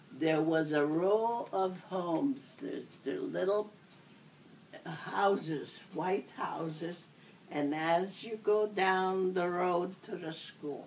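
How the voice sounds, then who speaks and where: In audible room echo, a woman speaks at a very slow pace and a fairly low pitch. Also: ordinary pitch variation. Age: 80s+. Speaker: elderly interviewee. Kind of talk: oral history interview. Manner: halting.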